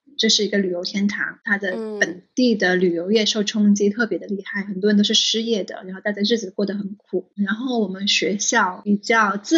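A woman talks in a normal speaking voice at a medium pitch. Her pace is moderate and her intonation fairly even. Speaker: school founder. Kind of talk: interview.

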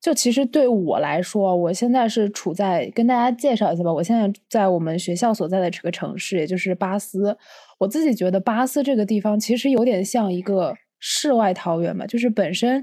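A woman talks at a fairly quick pace with a dark, mellow tone. The recording is very clean, with a silent background. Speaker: podcast co-host, psychology student. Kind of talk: casual chat.

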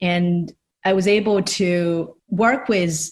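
A woman speaks in a fairly low, somewhat breathy voice with a Chinese accent. Her intonation stays fairly even. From China, Shanghai. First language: Mandarin Chinese. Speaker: designer and artist. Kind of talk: interview.

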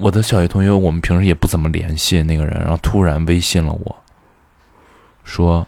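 A man with a very deep, low voice speaks in a flat monotone, leaving long, frequent pauses. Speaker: podcaster. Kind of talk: casual monologue. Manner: rambling, hesitant.

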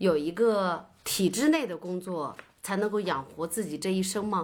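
The recording is very clean and the background silent. A woman talks at a fairly slow pace. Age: 30s. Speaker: teacher. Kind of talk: casual book discussion.

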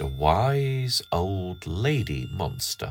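With very wide pitch swings, a man talks in a somewhat breathy voice at a fairly low pitch. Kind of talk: bedtime story reading aloud. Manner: slow, gentle, soothing.

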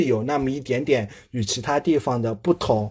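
This voice belongs to a man. It comes across somewhat breathy. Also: very clean recording, silent background. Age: 20s. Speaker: guest. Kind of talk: monologue.

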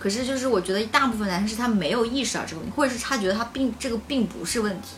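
Amid noticeable background noise, a woman with a fairly high pitch talks very fast, her pitch varying in an ordinary way. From Changsha, China. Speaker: guest. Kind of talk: casual chat.

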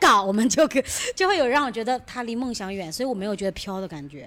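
A high female voice swinging very widely in pitch. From Shijiazhuang, Hebei. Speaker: musical theatre actor. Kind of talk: casual group chat.

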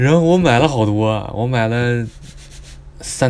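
A man talks with ordinary pitch movement, and room echo can be heard. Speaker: student podcaster. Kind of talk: casual travel storytelling monologue. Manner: animated, exclamatory.

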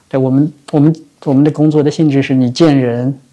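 A fairly high-pitched man delivers flat, monotone speech at a fairly quick pace in a dark, mellow tone. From Shanghai, Chongming Island. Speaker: venture capital investor. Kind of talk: interview. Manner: hesitant, many filler sounds.

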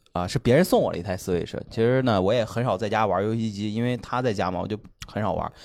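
The speech comes at a very fast pace with ordinary pitch variation, on a very clean recording with a silent background. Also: man, fairly low pitch for a man. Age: 30s. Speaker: stand-up comedian and father. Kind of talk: casual chat. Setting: stage with live audience.

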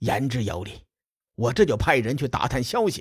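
A somewhat breathy man's voice, medium in pitch, with an animated tone. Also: very clean recording, silent background. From Western China. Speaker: storyteller podcaster. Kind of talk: storytelling narration. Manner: animated, voices characters.

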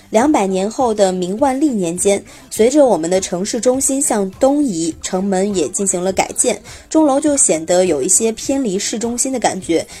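A woman's medium-pitched voice with lively intonation and noticeable background noise. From Xi'an, Shaanxi. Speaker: podcast host. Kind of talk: scripted narration. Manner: relaxed storytelling with filler particles.

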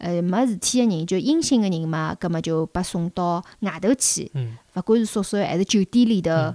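A woman at medium pitch, moderate pace and hardly any pauses, with a dark, mellow tone and lively intonation, in a dry, close, echo-free sound on a very clean recording with a silent background. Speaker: podcast guest. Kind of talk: casual chat.

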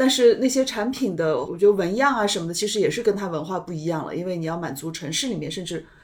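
Pauses barely occur. The delivery rushes along very quickly. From Shanghai. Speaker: podcast host, food media editor. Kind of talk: casual interview conversation.

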